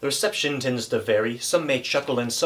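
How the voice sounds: In a natural reading voice, the speaker uses lively intonation.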